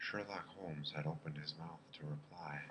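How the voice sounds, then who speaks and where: Soft-spoken and at a fairly slow pace, this voice has a bright, sharp tone and monotone, flat intonation. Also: man. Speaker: ASMR reader. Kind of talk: bedtime story reading.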